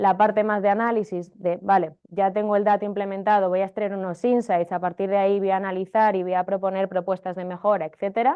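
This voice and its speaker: Moving at a fairly quick pace with hardly any pauses, a woman speaks at a medium pitch in a monotone, flat intonation. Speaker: marketing technology consultant and teacher. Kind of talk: workshop lecture. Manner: fast.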